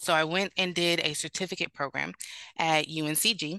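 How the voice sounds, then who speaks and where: A woman with an American accent speaks in a monotone, flat intonation and a bright, sharp tone. The sound is dry and close, with no echo. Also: quiet background. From Sacramento, California. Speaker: doula. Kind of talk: interview. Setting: video call.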